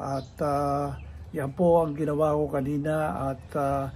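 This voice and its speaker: Very slowly, a man with a fairly high voice talks in a dark, mellow, somewhat breathy tone. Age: 70s. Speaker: senior health vlogger. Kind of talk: casual vlog talk. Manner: hesitant, many fillers.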